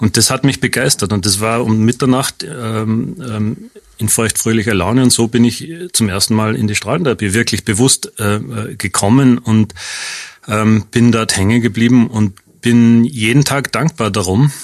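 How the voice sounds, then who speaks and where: A man speaks at a moderate pace with a slight Austrian accent. His pitch varies in an ordinary way. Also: medium pitch for a man. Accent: slight Austrian regional colouring. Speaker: radiation oncologist. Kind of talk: radio interview.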